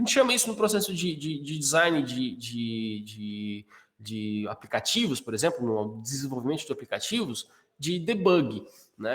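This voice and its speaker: Very wide pitch swings mark this man's fairly high voice. He speaks at a moderate pace. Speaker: course instructor. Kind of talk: live online class. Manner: halting with fillers.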